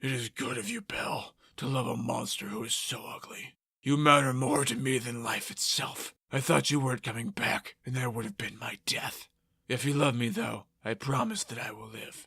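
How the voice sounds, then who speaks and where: At a moderate pace, a man does a raspy put-on character voice at a medium pitch. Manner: tender, dying.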